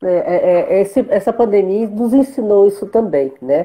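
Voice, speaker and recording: This woman talks at a moderate speed while her pitch swings very widely. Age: 60s. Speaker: interviewer. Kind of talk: casual interview in a live video chat.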